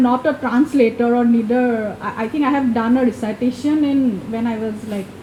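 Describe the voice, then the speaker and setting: Over noticeable background noise, a woman speaks in an Assam accent. Her pitch is high with ordinary variation, and her pace is moderate. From India, Assam. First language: Assamese. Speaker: event moderator. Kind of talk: moderated discussion. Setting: bookshop event with small audience. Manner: halting with many fillers.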